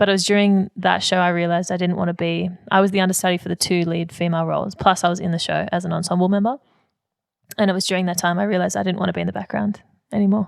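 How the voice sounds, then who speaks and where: Very fast and flat in a monotone, a woman speaks at a medium pitch with an Australian accent. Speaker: singer and musical theatre performer. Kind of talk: interview.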